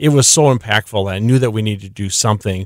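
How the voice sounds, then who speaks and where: A man with an Upper Midwest accent speaks at a fairly quick pace in a medium pitch with ordinary pitch variation, on a very clean recording with a silent background and a dry, close sound with no echo. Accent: Upper Midwest American. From South Dakota. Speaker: nonprofit founder and author. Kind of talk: radio interview.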